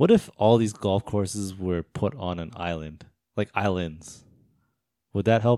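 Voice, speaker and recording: An ordinary speaking voice from a man, fairly low in pitch with ordinary pitch variation, in a dry, close sound with no echo. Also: fairly slow pace, very clean recording, silent background. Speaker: podcast host. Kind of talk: casual chat.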